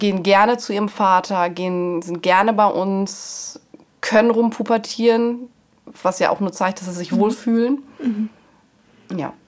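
Long, frequent pauses break up speech that moves at a fairly slow pace with ordinary pitch variation. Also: woman, medium pitch for a woman. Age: 40s. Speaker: mother in a patchwork family. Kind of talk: interview.

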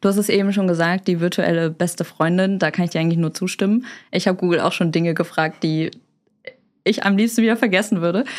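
A woman at a very fast pace, fairly even in intonation and very even in loudness. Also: medium pitch for a woman. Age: 20s. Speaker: online marketing expert. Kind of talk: expert interview.

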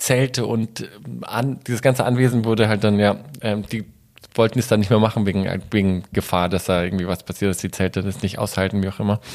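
A man with an ordinary speaking voice, a fairly quick pace and fairly even intonation. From Germany, Munich (Bavaria). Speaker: photographer and former model. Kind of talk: interview. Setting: host's living room.

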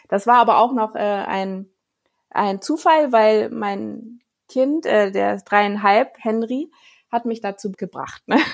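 On a very clean recording with a silent background, a woman with a fairly high pitch speaks at a very slow pace with ordinary pitch variation. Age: 30s. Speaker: children's book author and illustrator. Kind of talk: interview. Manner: halting.

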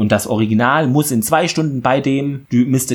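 Talking at a moderate pace, this man varies his pitch in an ordinary way. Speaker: podcast host recapping TV series. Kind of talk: episode recap monologue.

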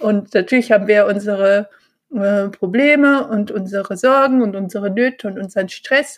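A woman's plain, everyday voice, fairly high, with fairly even intonation at a moderate pace. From Bonn, Germany. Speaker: mindfulness and yoga teacher. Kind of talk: casual interview.

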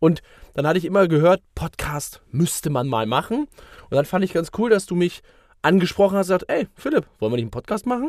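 Speaking at a high pitch, a man moves through very wide pitch swings. The recording is very clean with a silent background, and the sound is dry and close with no echo. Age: 30s. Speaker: sales consultant and podcast co-host. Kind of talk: casual chat. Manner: hesitant with many fillers.

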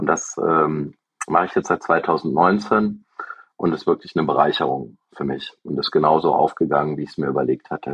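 Pitched very deep and low, a man speaks at a moderate pace with vocal fry and ordinary pitch variation. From Germany, Aachen. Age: 40s. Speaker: software company founder and CEO. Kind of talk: interview. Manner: hesitant, many fillers.

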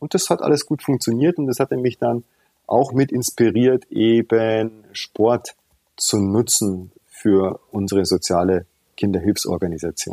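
Over music in the background, a man with a medium pitch speaks at a fairly slow pace with lively intonation. His loudness stays very even, and the sound is dry and close with no echo. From Tanzania until 12, then Munich. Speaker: founder of a children's charity, former jazz trumpeter. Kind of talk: interview.

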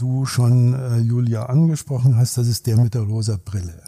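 At a moderate pace, a man speaks in a somewhat breathy, dark, mellow tone with a medium pitch and ordinary pitch variation. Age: 60s. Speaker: psychologist and executive coach. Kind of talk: casual chat. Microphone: poor sound quality in first episode.

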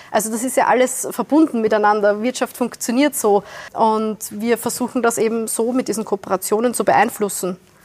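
The pace is fairly quick and the pitch moves in an ordinary way. It is an unremarkable speaking voice. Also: woman, fairly high pitch for a woman. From Austria, Wiener Neustadt south of Vienna. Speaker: environmental organisation director. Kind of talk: panel discussion. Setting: venue in Vienna, filmed.

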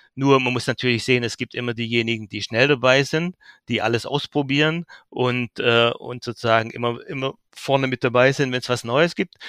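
This man has a plain, everyday voice at a medium pitch, speaking at a fairly quick pace with fairly even intonation, recorded very cleanly against a silent background with a dry, close sound and no echo. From Swabian Jura, Baden-Württemberg (Heidenheim). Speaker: trade magazine editor-in-chief. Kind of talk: interview.

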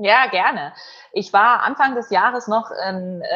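The pitch shows ordinary variation. It is a woman with a plain, everyday voice. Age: young. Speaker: event host and journalist. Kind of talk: interview. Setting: video call.

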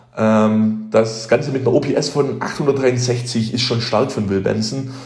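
Music plays in the background, and audible room echo surrounds the voice. A man talks at medium pitch with fairly even intonation. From Heidenheim, Swabia, Germany. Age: 20s. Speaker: baseball fan, former youth player. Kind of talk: recorded monologue season review.

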